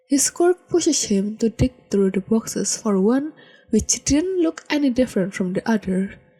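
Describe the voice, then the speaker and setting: A woman with a fairly high pitch and a dark, mellow tone speaks at a moderate pace, somewhat breathy, with very wide pitch swings and very even loudness. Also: dry, close sound with no echo. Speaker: podfic reader. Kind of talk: fan fiction audiobook reading.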